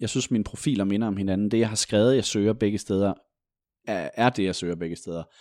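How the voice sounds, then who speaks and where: A man's fairly low, dark, mellow voice with ordinary pitch variation against a quiet background. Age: 30s. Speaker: journalist. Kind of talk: casual chat.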